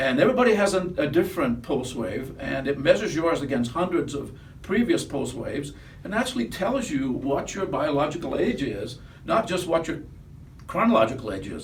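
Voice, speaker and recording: A man talks at a fairly quick clip in a fairly high voice with very wide pitch swings, over noticeable background noise and audible room echo. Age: 70s. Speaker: company founder. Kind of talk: casual chat. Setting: office.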